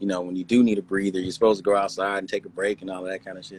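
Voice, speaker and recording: A man speaks at a fairly low pitch with an American accent. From Inglewood, California. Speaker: actor and business owner. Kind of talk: interview answer. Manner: casual, mild-mannered.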